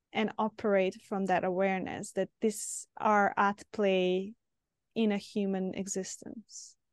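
A woman with a Serbian accent talks at a fairly slow pace in a medium pitch and a flat monotone, recorded with a dry, close sound and no echo. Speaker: podcast host, psychotherapist. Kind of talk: interview. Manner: halting.

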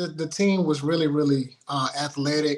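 With fairly even intonation and a fairly high pitch, a man talks in a normal speaking voice. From Houston, Texas. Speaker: author and youth counselor. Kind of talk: interview storytelling. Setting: live broadcast.

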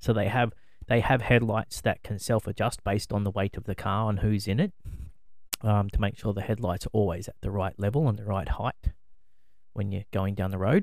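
On a very clean recording with a silent background, a man with an Australian accent speaks at a fairly quick pace in a fairly low pitch with fairly even intonation. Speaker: podcast co-host. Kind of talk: casual chat.

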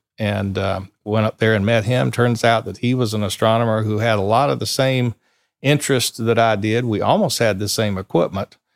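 A man with a Southern US accent speaks at a medium pitch, recorded dry and close with no echo, very clean and with a silent background. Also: ordinary pitch variation, moderate pace. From South Carolina, Sumter. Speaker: astrophotographer. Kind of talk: interview. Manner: halting, many fillers.

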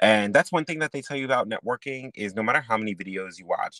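Very fast and animated, this bright, sharp voice uses lively intonation, with a dry, close sound, no echo, and a very clean recording over a silent background. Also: man. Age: 20s. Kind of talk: casual chat. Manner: animated, laughs often.

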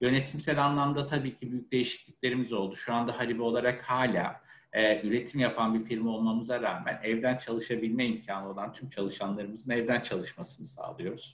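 A man at medium pitch talks with hardly any pauses in a plain, everyday voice. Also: fairly quick pace. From Ankara, Turkey. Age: 30s. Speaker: HR manager. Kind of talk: interview. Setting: webinar video call.

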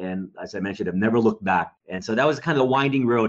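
Against a quiet background, a man speaks with a Texan accent and ordinary pitch variation. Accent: Texas American. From US, Dallas, Texas. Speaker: pastor. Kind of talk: interview. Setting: remote recording. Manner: hesitant fillers.

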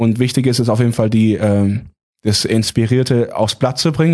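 Against a quiet background, a man talks at a moderate pace and medium pitch in a dark, mellow tone. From Heilbronn area, Baden-Württemberg. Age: 20s. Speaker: singer. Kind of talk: casual interview.

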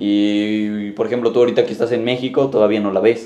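Dark, mellow male voice at medium pitch, its intonation fairly level. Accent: Mexican. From Mexico. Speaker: podcast host. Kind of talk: casual chat.

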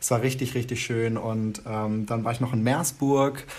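A man's somewhat breathy, medium-pitched voice, monotone and flat, at a moderate pace. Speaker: podcast co-host. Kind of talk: casual chat. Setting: video call.

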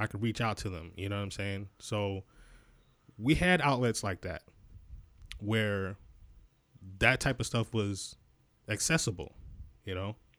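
With an American accent, a man speaks at a fairly slow pace in a fairly low pitch, with ordinary pitch variation and long, frequent pauses, on a very clean recording with a silent background. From Rochester, western New York. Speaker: podcast co-host. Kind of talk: casual discussion.

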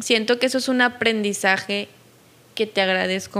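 The voice has a bright, sharp tone and a Mexican accent, with fairly even intonation. The recording is very clean, with a silent background. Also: woman. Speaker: podcast host. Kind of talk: casual interview.

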